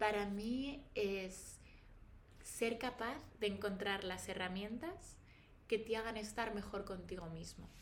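At a very slow pace, a woman speaks at medium pitch with ordinary pitch variation, and audible room echo surrounds her voice. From Spain, Valladolid. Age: 30s. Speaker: pharmaceutical professional and wellness influencer. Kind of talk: casual interview chat. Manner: articulate.

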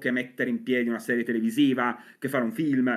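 A man talks at a fairly quick pace with lively intonation in an ordinary speaking voice. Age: 40s. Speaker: comics writer and novelist. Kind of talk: casual chat.

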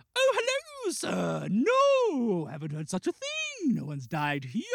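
A put-on character voice at a fairly slow pace. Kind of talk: polite, formal, old-fashioned. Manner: politely evasive.

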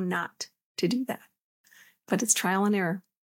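Here is a woman with a medium pitch. She has a plain, everyday voice. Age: 50s. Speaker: spiritual podcast host and coach. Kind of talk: solo talk on relationships and spirituality. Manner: calm.

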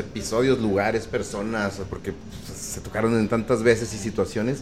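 A man with a plain, everyday voice, medium pitch, fairly even intonation and a moderate pace. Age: 40s. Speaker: reggae band vocalist. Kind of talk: interview. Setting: live broadcast from a record store.

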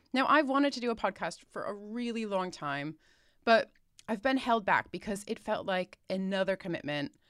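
At a moderate pace, a woman of medium pitch speaks with an American accent on a very clean recording with a silent background. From United States. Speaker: retail analyst and podcast host. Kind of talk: scripted podcast intro and monologue.

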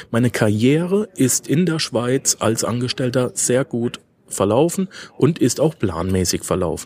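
The recording has a dry, close sound with no echo, as a man of medium pitch speaks at a fairly slow pace. His pitch swings very widely. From Germany, Karlsruhe (Baden). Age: 30s. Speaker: finance podcast host. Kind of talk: solo podcast monologue. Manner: frequent hesitation fillers.

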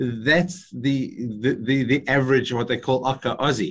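Nothing much can be heard behind the speaker. He is a man with a mid-range voice. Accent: Australian. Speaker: entrepreneur and business speaker. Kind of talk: interview.

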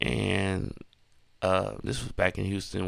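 A man with an American accent speaks at a very deep, low pitch. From San Francisco, California. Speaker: DJ and podcast host. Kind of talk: casual solo monologue. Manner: laid-back, many fillers.

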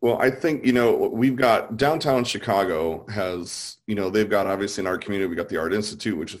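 This man has an unremarkable speaking voice at a fairly low pitch, with ordinary pitch variation. He talks at a fairly quick pace in a very clean recording with a silent background. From US South. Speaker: artist.

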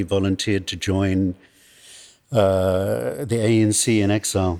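A man with a British accent, a fairly low pitch and fairly even intonation. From England. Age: old. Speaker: film producer. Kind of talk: interview.

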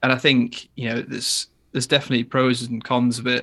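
A man with an English accent speaks at medium pitch and a moderate pace. His tone is bright and sharp, his intonation flat and monotone. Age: 20s. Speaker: metal guitarist. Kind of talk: casual chat. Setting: video call.

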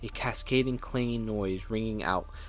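Someone reads a text aloud. The reading is plain.

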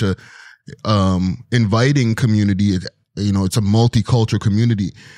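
The recording is very clean with a silent background and a dry, close sound with no echo as a man speaks in a fairly low pitch. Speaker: hip-hop media personality and podcaster. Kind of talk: casual interview chat. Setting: studio.

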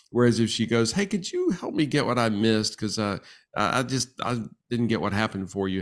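A man with a plain, everyday voice speaks at a medium pitch and a fairly quick pace, with ordinary pitch variation. The recording is very clean, with a silent background. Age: 60s. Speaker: marriage and family therapist. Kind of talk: interview.

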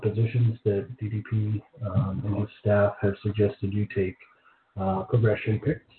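A man's fairly low voice comes through at a moderate pace. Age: 40s. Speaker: podcast host documenting weight loss. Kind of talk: solo monologue podcast. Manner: halting, many fillers.

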